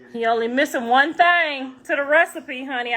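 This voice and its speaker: A woman speaks loudly in a high pitch. Her tone is bright and sharp. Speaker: rapper's mother and social media personality. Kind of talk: casual livestream chat. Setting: live stream. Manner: animated.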